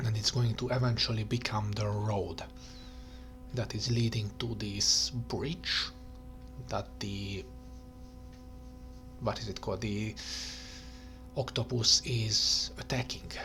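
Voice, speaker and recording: Soft-spoken and fairly low-pitched, a man talks at a very slow pace with lively intonation and long, frequent pauses while music plays in the background. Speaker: digital artist. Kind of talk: soft-spoken ASMR talk while digital painting. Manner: soft-spoken, rambling, thinking aloud.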